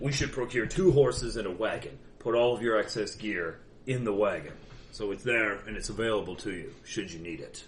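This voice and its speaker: A man's put-on character voice, stern in tone and medium in pitch, with lively intonation at a moderate pace, over clear background noise. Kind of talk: in-character roleplay speech. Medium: actual play. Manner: stern, formal.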